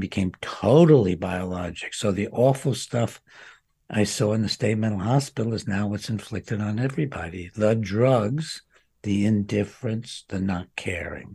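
A man speaks at a fairly slow pace in a fairly low pitch, his voice somewhat breathy. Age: 80s+. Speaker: psychiatrist and author. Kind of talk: interview. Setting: remote recording with wife assisting.

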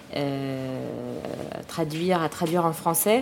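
A woman talks over noticeable background noise. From Paris, France. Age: young. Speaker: film director. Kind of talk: casual interview. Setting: outdoor café terrace. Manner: halting.

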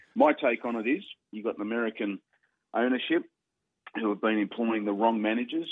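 A man with an Australian accent talks at a fairly quick pace, his intonation fairly even. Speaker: radio sports host. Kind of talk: casual radio banter.

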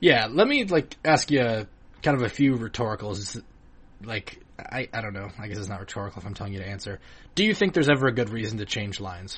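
At a very fast pace, a man speaks in a medium pitch with a somewhat breathy voice and big swings in loudness. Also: ordinary pitch variation. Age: 20s. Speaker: sports podcast host. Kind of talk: casual chat.

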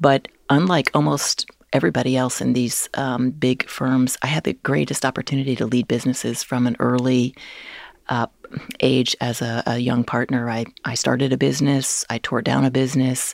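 The speaker has an American accent and vocal fry, talking at a moderate pace with fairly even intonation in a dry, close sound with no echo. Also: woman, very deep, low pitch for a woman. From New Jersey. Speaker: retired corporate executive. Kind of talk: interview conversation.

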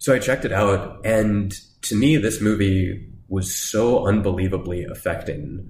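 A man's fairly low, somewhat breathy voice at a fairly slow pace, with ordinary pitch variation and audible room echo. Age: 30s. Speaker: academic theologian. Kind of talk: casual chat.

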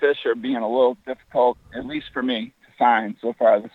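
A man with an ordinary speaking voice, medium pitch and moderate pace. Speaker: fishing website founder. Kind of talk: casual interview. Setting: phone call while walking outdoors.

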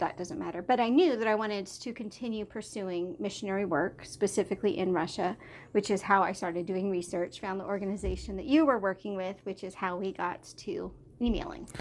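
A woman speaks at a medium pitch. The background is quiet. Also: ordinary pitch variation, fairly quick pace. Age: 30s. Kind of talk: casual chat. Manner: animated.

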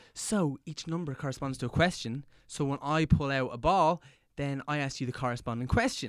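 On a very clean recording with a silent background, a man with an Irish accent talks at a fairly quick pace in a fairly high pitch, with ordinary pitch variation. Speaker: podcast host. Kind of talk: casual chat.

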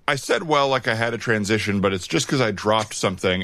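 Very fast speech from a man with a fairly low pitch, ordinary pitch variation and noticeable background noise. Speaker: podcast host.

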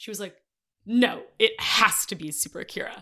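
The woman's tone is bright and sharp. Her pitch is medium. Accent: American. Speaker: social media creator. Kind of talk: casual chat.

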